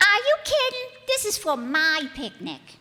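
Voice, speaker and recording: In a squeaky put-on character voice, a woman goes extremely high in pitch with very wide swings at a moderate pace. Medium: old radio play. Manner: sarcastic, brassy.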